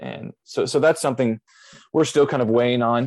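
A normal speaking voice with an American accent, a fairly quick pace and ordinary pitch variation. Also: man. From US Midwest, Southern Illinois. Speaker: pastor. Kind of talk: casual chat.

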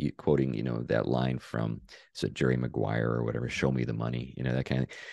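A man's dark, mellow voice with vocal fry. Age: 60s. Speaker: pastor and author. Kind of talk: interview conversation.

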